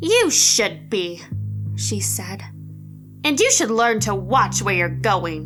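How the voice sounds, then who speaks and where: A woman's put-on character voice at a very slow pace, with clear music in the background. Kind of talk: horror story narration. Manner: angry, screaming.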